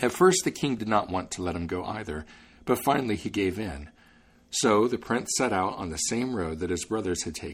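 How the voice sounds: Lively intonation from a natural reading voice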